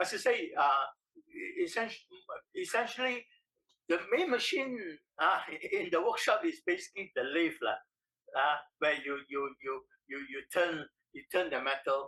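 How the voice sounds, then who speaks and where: A man with a Singaporean accent speaks at a moderate pace, leaving long, frequent pauses. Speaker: industrial engineer. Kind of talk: oral history interview answer.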